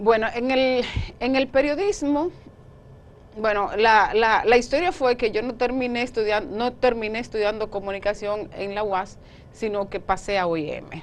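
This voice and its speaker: Speaking at a fairly slow pace, a woman uses a Dominican accent. Her pitch is fairly high, with ordinary pitch variation. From Dominican Republic, Monte Plata. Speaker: journalist. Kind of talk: interview.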